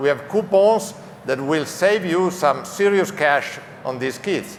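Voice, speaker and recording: A fairly slow voice with an Italian accent and ordinary pitch variation, with audible room echo and noticeable background noise. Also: man. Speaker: automotive executive. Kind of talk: press conference presentation. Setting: stage at trade show.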